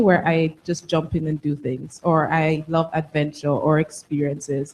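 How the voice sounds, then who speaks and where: This woman has a Jamaican accent and a fairly low pitch. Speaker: tech alumna panelist. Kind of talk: panel discussion.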